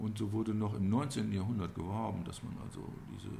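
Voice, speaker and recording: The voice carries vocal fry. Audible room echo surrounds it. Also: man. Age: 60s. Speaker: local historian and business owner. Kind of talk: interview. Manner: hesitant, many fillers.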